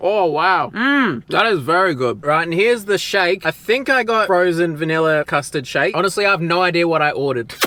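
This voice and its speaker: Animated and lively in intonation, a man with an Australian accent speaks in a high pitch with a bright, sharp tone at a fairly quick pace, with hardly any pauses and very even loudness. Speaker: theme park vlogger. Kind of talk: travel vlog.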